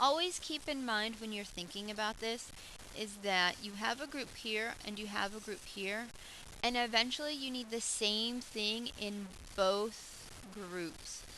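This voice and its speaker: A woman with an ordinary speaking voice and fairly high pitch talks at a fairly slow pace, her pitch varying in an ordinary way. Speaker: math teacher. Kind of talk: tutorial.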